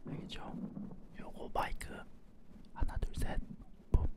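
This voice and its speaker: Whispering at a fairly slow pace, the voice comes through over noticeable background noise. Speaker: gaming streamer. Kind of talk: live game commentary. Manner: quiet, soft-spoken.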